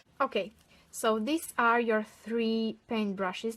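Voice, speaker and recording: A woman with a non-native accent talks at a fairly slow pace in a monotone with flat intonation. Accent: non-native English, says pronunciation rusty. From Romania. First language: Romanian. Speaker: tarot and rune card reader. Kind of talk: online divination reading. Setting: on camera, filmed video. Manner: halting, searching for words.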